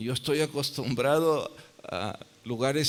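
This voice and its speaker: With an unremarkable speaking voice, a man talks at a medium pitch, his pitch rising and falling in an ordinary way. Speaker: pastor. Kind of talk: sermon.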